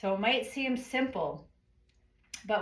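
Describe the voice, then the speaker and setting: A woman speaks at a fairly slow pace in a calm tone, her voice somewhat breathy. Her intonation is lively, and audible room echo surrounds her. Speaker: yoga teacher. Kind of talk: guided yoga class.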